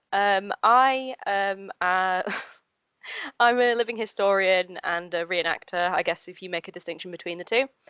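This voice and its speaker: With a Yorkshire accent, a woman talks at a fairly slow pace with ordinary pitch variation. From Yorkshire, York. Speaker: living historian and re-enactor. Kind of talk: interview conversation. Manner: hesitant, many fillers.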